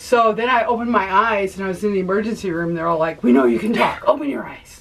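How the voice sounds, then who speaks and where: Against noticeable background noise, a woman at medium pitch speaks at a very fast pace with lively intonation and big swings in loudness. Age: 60s. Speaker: author and nurse anesthetist. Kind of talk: interview testimony.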